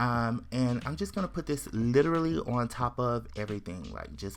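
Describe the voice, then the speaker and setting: Pitched in the middle range, a man's voice moves through very wide pitch swings in an animated tone. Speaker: makeup YouTuber. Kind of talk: makeup tutorial. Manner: fast.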